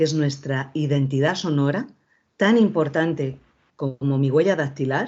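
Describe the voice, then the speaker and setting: A woman with a very deep, low pitch speaks at a fairly slow pace with ordinary pitch variation. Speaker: voice and communication coach, former TV presenter. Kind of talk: lecture. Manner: informal.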